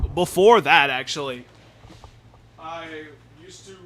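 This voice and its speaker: A man's voice carries audible room echo. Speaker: gaming streamer. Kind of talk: casual live stream chat. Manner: halting, stumbling over words.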